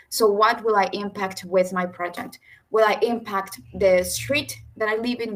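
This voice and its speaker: A woman speaks with a Spanish accent at a medium pitch. She keeps a moderate pace and fairly even intonation. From Mexico and El Salvador. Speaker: youth mapping regional ambassador. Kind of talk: webinar presentation. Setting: video call.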